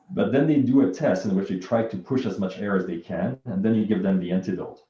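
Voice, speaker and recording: Talking at a very fast pace, a man uses a fairly low pitch with ordinary variation. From Quebec, Montreal. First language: French. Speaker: bioinformatics researcher and physician. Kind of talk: interview.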